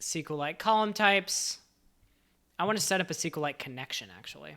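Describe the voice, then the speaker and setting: The tone is animated and the pace moderate, on a very clean recording with a silent background. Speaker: software developer streamer. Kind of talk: live coding stream. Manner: casual, animated.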